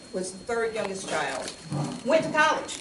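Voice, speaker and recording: Noticeable background noise runs through the clip. Room echo is audible too. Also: woman. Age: 60s. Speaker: lawyer and community speaker. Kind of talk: public talk and Q&A. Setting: church hall with audience.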